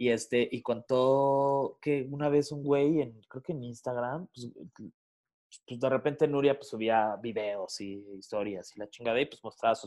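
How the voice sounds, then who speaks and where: At a moderate pace, a man talks with ordinary pitch variation. He has a normal speaking voice, medium in pitch. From Mexico City. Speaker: radio and podcast host. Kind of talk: casual chat.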